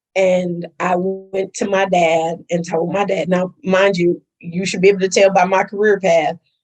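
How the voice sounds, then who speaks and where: A woman with an American accent and a medium pitch talks at a fairly slow pace with hardly any pauses, music playing in the background. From US Midwest, Milwaukee. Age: 50s. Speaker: school administrator and actress. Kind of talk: interview. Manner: animated.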